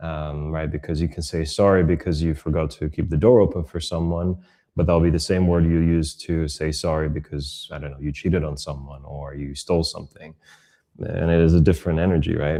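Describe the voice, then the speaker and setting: A man with a non-native accent, a very deep, low pitch and a dark, mellow tone, speaking at a fairly quick pace with fairly even intonation over a quiet background. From Europe, raised moving between several countries. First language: not English. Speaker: online content creator and coach. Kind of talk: podcast interview conversation. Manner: reflective, with many fillers.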